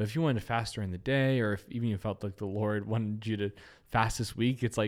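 Over a very clean recording with a silent background, a plain, everyday voice speaks with ordinary pitch variation. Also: man. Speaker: podcast host. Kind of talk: casual chat.

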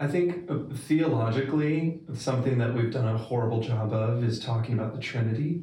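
A man's medium-pitched, an unremarkable speaking voice at a fairly quick pace, with very even loudness and ordinary pitch variation. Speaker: podcast co-host. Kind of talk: casual interview.

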